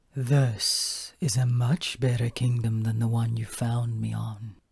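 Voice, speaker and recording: A man performs a put-on character voice with a rumbling quality at a medium pitch. He delivers it at a fairly slow pace. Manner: confident, scheming.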